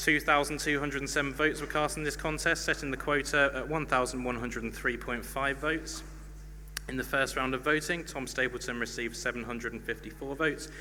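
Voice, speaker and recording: Very fast pace from a man, noticeable background noise underneath. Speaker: student union officer announcing results. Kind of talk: announcing election results.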